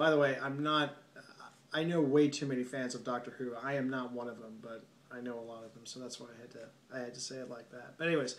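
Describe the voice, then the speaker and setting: A man with a medium-pitched voice speaks very fast, with fairly even intonation, big swings in loudness and audible room echo. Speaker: film reviewer. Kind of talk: solo video review monologue. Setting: at home late at night. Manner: softer than usual; halting, many fillers.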